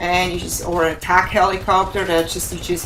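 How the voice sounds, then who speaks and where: Her fairly low voice is monotone and flat. Audible room echo and noticeable background noise fill the recording of this woman. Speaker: gaming YouTuber. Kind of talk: gameplay commentary. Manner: deliberately not too fast; casual, filler-heavy.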